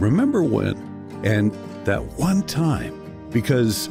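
Very wide pitch swings from a man, with music playing behind. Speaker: voice actor. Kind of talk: TV commercial read.

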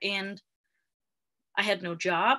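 A woman's bright, sharp tone with fairly even intonation over a quiet background. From Denmark. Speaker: video marketing specialist. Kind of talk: interview guest, personal story. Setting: remote live video call. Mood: animated storytelling. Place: home room. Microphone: video call.

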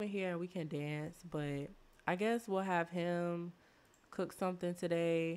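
A woman's fairly low, slightly mellow voice with a clear, smooth tone, fairly even intonation and a slow pace.

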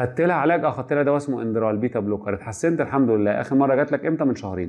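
A man with a Cairo accent, lively intonation and a very fast pace against a quiet background. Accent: Egyptian Arabic (Cairene). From Egypt. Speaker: medical lecturer. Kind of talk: lecture. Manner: animated. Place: classroom.

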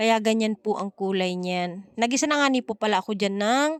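Her pitch is fairly high for a woman, with ordinary pitch variation. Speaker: cooking vlogger. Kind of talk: voice-over narration. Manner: stumbles over words.

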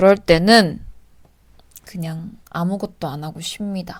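Somewhat breathy and calm in tone, a woman speaks at a very slow pace with a medium pitch and ordinary pitch variation. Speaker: actress and vlogger. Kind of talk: casual Q&A vlog.

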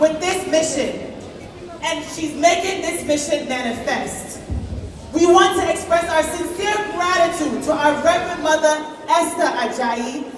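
A woman's extremely high voice at a fairly slow pace, with ordinary pitch variation, audible room echo and light background noise. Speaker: event host giving thanks. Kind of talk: stage announcement. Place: hall.

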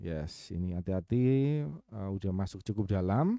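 A man speaks at a moderate pace in a dark, mellow tone, over a quiet background, with a dry sound with no echo. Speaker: trading mentor. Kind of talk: live webinar tutorial. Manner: halting, stumbling over words; casual, thinking aloud. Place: home room.

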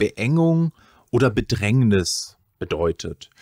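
With lively intonation, a man speaks in a dry sound with no echo against a quiet background. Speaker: podcast host. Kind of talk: interview introduction and explanation. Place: home room. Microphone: studio mic.

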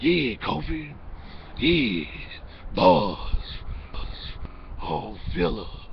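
A man performs a put-on character voice at a very slow pace with long, frequent pauses. Clear background noise runs underneath. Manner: menacing, theatrical.

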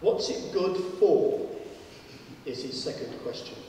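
There is strong room echo and light background noise. Through it, a man speaks at a fairly slow pace. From northern England. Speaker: professor and debate chair. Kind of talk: moderated public debate. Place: hall.

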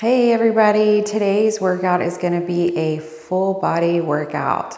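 A woman talks at a fairly slow pace with fairly even intonation. There is audible room echo. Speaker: fitness instructor. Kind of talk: workout tutorial intro. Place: home room. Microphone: lapel.

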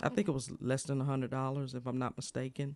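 A man talking at a fairly quick pace, with a dry sound and no echo. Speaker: streamer reviewing a microphone. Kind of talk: casual product review chat. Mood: pleased, impressed. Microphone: studio mic.

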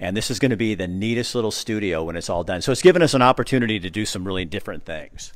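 Against a quiet background, a man with an American accent talks at a very fast pace with hardly any pauses, his fairly low voice animated in tone. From US Pacific Northwest. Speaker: video host touring a gym. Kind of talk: casual walkthrough interview. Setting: indoors at a gym, walking tour. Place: gym. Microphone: handheld.

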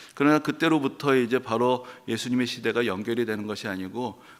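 A man's normal speaking voice at medium pitch, with ordinary pitch variation. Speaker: pastor. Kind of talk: sermon.

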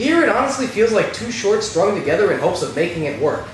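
A man talks at a fairly quick pace. There is audible room echo and light background noise. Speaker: movie reviewer. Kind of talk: comedic review commentary.

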